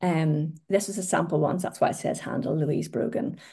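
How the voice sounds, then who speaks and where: Against a quiet background, a woman with a Northern Irish accent speaks in a dark, mellow tone with lively intonation. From Northern Ireland. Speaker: social media marketing trainer. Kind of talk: webinar presentation. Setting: online webinar.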